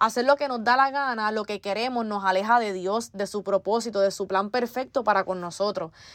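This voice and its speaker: An ordinary speaking voice moves at a fairly quick pace with hardly any pauses and ordinary pitch variation, over a quiet background. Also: woman, fairly high pitch for a woman. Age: 20s. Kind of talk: faith testimony monologue.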